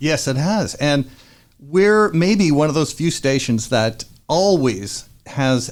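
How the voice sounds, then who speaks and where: A man speaks in a plain, everyday voice with lively intonation. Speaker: radio DJ. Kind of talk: radio interview host. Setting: studio.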